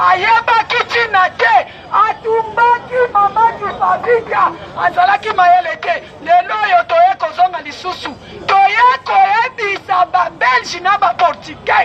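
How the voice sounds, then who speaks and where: Someone speaks at a very slow pace while crowd noise fills the background. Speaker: activist. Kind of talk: impassioned speech. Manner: animated.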